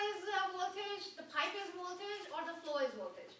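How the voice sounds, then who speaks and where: A woman's extremely high, raised, projected voice with a bright, sharp tone and audible room echo. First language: not English. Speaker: trade school instructor. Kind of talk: classroom lecture. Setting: classroom. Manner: interactive, questioning.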